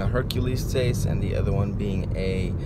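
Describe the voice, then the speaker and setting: Loud background noise sits under a man speaking at a fairly slow pace, with a dry sound and no echo. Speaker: toy collector vlogger. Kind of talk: casual vlog chat. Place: car. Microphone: phone near.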